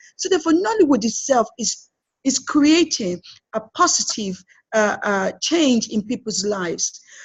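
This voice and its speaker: Her pitch is high. This woman's voice swings very widely up and down. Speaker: film producer. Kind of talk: interview. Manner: fast.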